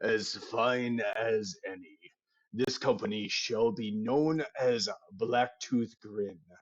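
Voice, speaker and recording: A man's put-on character voice at a very slow pace. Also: medium pitch for a man. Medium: actual play.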